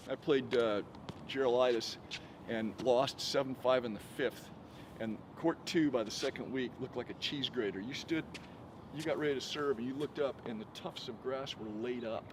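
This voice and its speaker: The speaker is a man, talking at a moderate pace. His pitch shows ordinary variation. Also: medium pitch for a man. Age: 60s. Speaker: former tour tennis pro and coach. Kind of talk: casual chat. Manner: animated.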